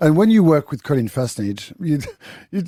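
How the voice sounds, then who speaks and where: A man with a strong French accent speaks at a fairly high pitch in a dark, mellow tone, his pitch swinging very widely. The sound is dry and close, with no echo. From France. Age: 50s. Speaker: chef and TV cooking show judge. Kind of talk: radio interview. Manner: halting, repeats words.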